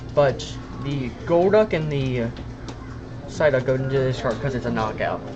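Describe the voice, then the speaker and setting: Speech comes at a moderate pace, broken by long, frequent pauses. There is noticeable background noise. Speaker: card game player. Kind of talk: casual chat during card game. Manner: halting, repeats words.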